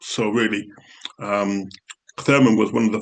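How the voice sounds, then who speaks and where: A man speaks with a Yorkshire accent. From Yorkshire, England. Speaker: theology professor. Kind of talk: academic talk. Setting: book launch event. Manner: wordy.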